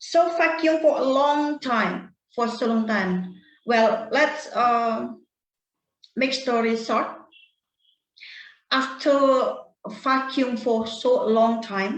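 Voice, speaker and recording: A woman talks at a very slow pace and a high pitch with ordinary pitch variation, and audible room echo surrounds her. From Bali, Indonesia. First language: Indonesian or Balinese. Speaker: storytelling guest, English learner. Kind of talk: personal story in casual online chat. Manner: halting, many fillers and repeats.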